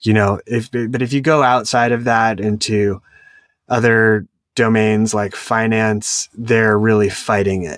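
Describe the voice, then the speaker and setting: In a very clean recording with a silent background, a man with a medium pitch speaks at a fairly slow pace and fairly even intonation. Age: 40s. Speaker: founder and CEO of a software staffing agency. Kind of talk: interview.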